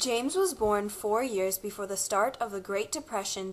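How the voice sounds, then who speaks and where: Moderate pace and ordinary pitch variation in a plain, everyday voice. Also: woman. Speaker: interviewer and narrator. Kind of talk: documentary narration.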